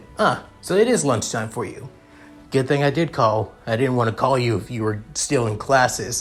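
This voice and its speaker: A man's gruff, put-on character voice at a medium pitch and moderate pace, with music in the background. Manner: hyperactive.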